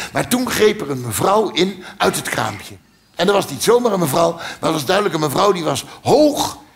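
Very wide pitch swings from a high-voiced man at a moderate pace. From Netherlands. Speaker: cabaret comedian. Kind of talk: stand-up comedy performance. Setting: theatre stage. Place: stage. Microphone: headset.

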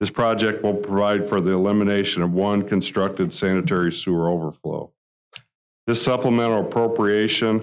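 The speaker talks at a moderate pace with fairly even intonation. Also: man. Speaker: presenter. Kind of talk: formal meeting presentation. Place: meeting room. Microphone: podium.

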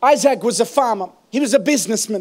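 A man is shouting at a very fast pace in an extremely high pitch. His tone is animated, and the background is quiet. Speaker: preacher. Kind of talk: sermon. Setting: church. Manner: animated, rousing call-and-response delivery, urging the congregation to shout praise; fervent, building in intensity. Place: church. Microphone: handheld.

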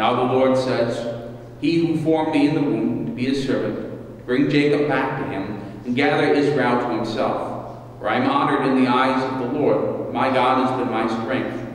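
A man talks with fairly even intonation. Strong room echo fills the recording. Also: moderate pace. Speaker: minister leading worship. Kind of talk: scripture reading. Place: church. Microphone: podium.

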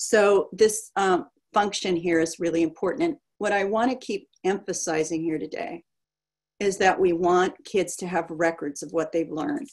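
A woman speaks at a moderate pace with ordinary pitch variation against a quiet background. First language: German. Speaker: education researcher; presenter. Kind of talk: lecture. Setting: video call. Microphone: webcam.

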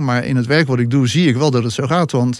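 Speech from a man sits against a quiet background. The sound is dry, with no echo. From Netherlands, Rotterdam; Netherlands. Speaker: regression therapist; podcast guest. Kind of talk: interview conversation. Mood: reflective, earnest. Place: studio. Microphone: studio mic.

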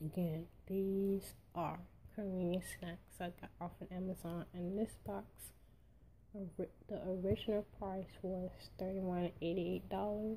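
Somewhat breathy and dark, mellow in tone, a woman speaks at a medium pitch and fairly slow pace with monotone, flat intonation and long, frequent pauses. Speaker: unboxing vlogger. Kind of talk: casual talk to camera.

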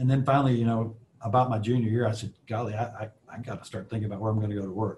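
A man with an American accent talks at a very fast pace in a fairly low, somewhat breathy voice with a dark, mellow tone. His intonation is monotone and flat, with light background noise. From US South, Alabama. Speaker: aerospace executive; guest. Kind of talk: guest lecture with Q&A. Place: office. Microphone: video call.

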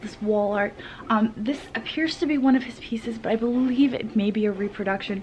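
Faint music plays in the background. A woman talks at a fairly quick pace with ordinary pitch variation. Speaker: vintage reseller vlogger. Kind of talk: casual vlog chat. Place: shop. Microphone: phone near.

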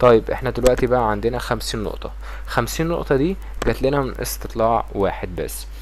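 Noticeable noise sits in the background. The talking moves fairly quickly. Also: man. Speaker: YouTuber. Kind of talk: tutorial. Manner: casual.

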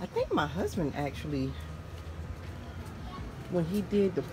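A fairly slow delivery with noticeable noise in the background. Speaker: home decor vlogger. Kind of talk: casual vlog chat. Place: street. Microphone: phone near.

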